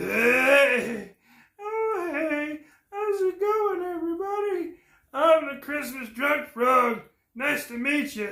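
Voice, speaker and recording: A high-pitched, put-on character voice at a very slow pace. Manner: drunk, cheerful greeting.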